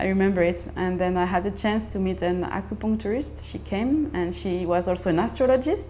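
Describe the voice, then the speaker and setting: A woman in a French accent talks at a fairly quick pace with hardly any pauses, and audible room echo surrounds her voice. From France. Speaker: mother sharing birth story. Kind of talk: personal testimony. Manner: halting, many fillers and restarts.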